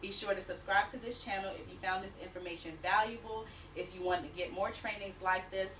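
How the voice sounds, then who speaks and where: A woman at a medium pitch speaking at a fairly quick pace, with music in the background. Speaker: business coach for work-from-home moms. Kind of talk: tutorial. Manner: fast; animated.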